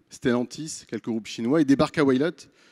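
A man talks at a moderate speed, and the background stays quiet. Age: 30s. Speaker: startup founder and CEO. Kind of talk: pitch presentation. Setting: stage with audience. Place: stage. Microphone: handheld.

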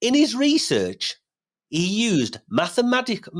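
The pace is fairly slow, and the background stays quiet. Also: man. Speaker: podcast host. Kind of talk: podcast host introduction. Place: home room. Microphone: studio mic.

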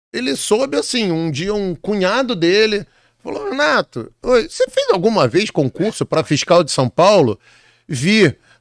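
A man talks at a moderate pace with very wide pitch swings. The sound is dry with no echo, and the background is quiet. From Brazil, Rio de Janeiro. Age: 50s. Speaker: exam prep author and teacher; teacher. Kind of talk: casual interview chat. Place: studio. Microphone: studio mic.

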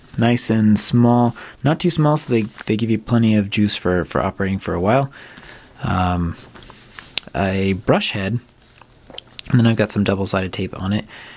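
Over noticeable background noise, a man with a fairly low pitch keeps a moderate pace, leaving long, frequent pauses. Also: ordinary pitch variation. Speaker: maker and seller of small robot kits. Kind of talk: tutorial. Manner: casual, hesitant with fillers.

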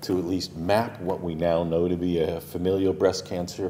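The speaker has an American accent and talks at a fairly slow pace over light background noise. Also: man. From United States. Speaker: cancer geneticist. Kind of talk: lecture. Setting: stage with audience. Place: hall.

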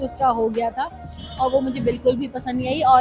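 A woman speaks at a high pitch with faint music in the background. The sound is dry with no echo. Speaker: food vlogger. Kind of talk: casual food review chat. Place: cafe. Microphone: lapel.

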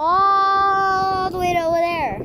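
A woman's raised, projected voice with lively intonation, dry with no echo, amid noticeable background noise. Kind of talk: casual chat with children. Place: open country. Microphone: phone near.

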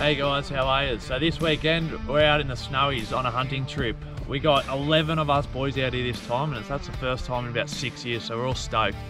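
Over clear music in the background, a man talks at a fairly quick pace with hardly any pauses and fairly even intonation. The sound is dry, with no echo. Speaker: hunting channel host. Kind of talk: casual vlog chat. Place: open country. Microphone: camera far.

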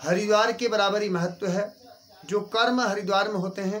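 At a fairly slow pace, a man speaks with fairly even intonation. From Uttarakhand. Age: 40s. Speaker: temple priest. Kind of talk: interview. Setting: outdoors at a temple. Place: home room. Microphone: phone near.

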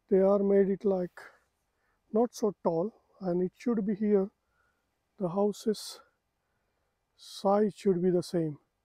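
With a Marathi accent and a dark, mellow tone, a man speaks at a high pitch and a very slow pace, keeping his intonation fairly even and leaving long, frequent pauses. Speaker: travel vlogger. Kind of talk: casual walking vlog. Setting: outdoors.

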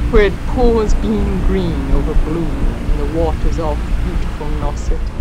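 A woman talks at a very slow pace as music plays in the background. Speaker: poet. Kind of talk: poetry reading.

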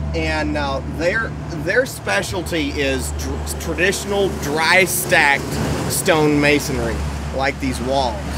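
A man speaks at a very slow pace over loud background noise. The sound is dry, with no echo. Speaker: blacksmith and channel host. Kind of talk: casual chat. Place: open country.

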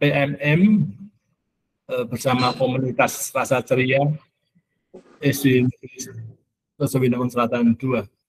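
A man speaks very slowly in a somewhat breathy voice. Light background noise sits behind him. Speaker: school supervisor giving welcome speech; webinar host or speaker. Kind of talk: formal webinar welcome speech. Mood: warm, welcoming.

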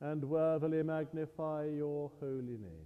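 This man's voice has a dark, mellow tone. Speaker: priest leading service. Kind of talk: liturgy and prayer. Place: church.

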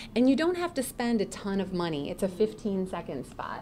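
Light background noise sits under the recording. The speaker is a woman. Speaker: voice actor. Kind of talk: guest talk to students. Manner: casual, chatty. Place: classroom. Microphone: podium.

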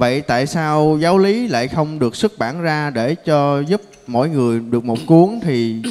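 Over a quiet background, a man with a dark, mellow tone speaks fairly slowly with lively intonation. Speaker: session moderator. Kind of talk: moderating Q&A. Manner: polite, formal. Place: hall.

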